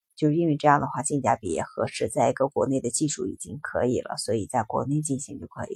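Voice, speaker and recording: Words pour out very fast, with hardly any pauses between them. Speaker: solo podcast host. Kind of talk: casual monologue. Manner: halting, many fillers.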